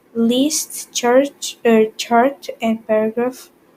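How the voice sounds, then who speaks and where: A woman speaks at a high pitch with a non-native accent. Her tone is dark and mellow, and her intonation fairly even. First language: not English. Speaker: ICT tutor, YouTuber. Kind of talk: tutorial. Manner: halting, many fillers.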